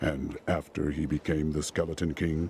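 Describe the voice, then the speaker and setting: In a put-on character voice, a man speaks very deep and low, monotone and flat, at a moderate pace over clear background noise. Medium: video game. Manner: direct, terse.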